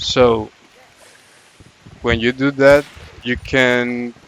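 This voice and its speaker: Against noticeable background noise, a man speaks at a very slow pace in a monotone, flat intonation. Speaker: gaming channel creator. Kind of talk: casual gameplay tips commentary.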